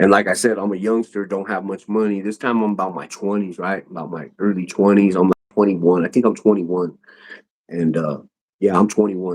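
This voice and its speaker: In an American accent, a man with an ordinary speaking voice talks at a fairly low pitch with fairly even intonation. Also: fairly quick pace. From US West, North Denver, Colorado. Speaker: YouTuber, podcast guest. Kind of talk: casual chat, storytelling.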